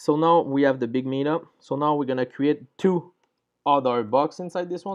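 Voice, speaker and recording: A man with a French accent, fairly high-pitched, at a moderate pace and with ordinary pitch variation. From France. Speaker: programming tutorial creator. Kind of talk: coding tutorial. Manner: halting, with fillers.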